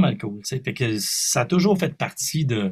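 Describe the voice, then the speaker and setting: Somewhat breathy, a man speaks with a Quebec accent and lively intonation. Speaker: singer and multi-instrumentalist. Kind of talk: interview.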